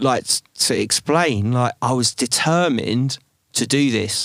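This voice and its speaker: A man with an English accent, in a dry, close sound with no echo. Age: 40s. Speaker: drum and bass MC. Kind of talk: casual chat.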